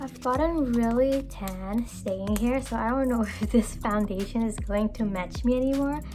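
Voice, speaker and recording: A woman talks at a moderate pace with hardly any pauses. Noticeable background noise and audible room echo are present. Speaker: beauty vlogger. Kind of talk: makeup tutorial. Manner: casual, chatty.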